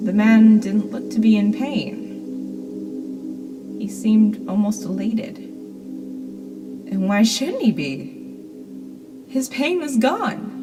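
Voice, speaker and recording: Music plays in the background as a woman talks at a very slow pace, with long, frequent pauses. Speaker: horror story narrator. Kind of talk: horror story narration.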